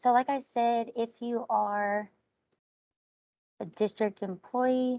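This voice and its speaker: In a calm tone, a soft-spoken woman talks with fairly even intonation. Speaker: instructional technology trainer. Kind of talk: online workshop presentation. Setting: video call. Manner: soft-spoken, calm.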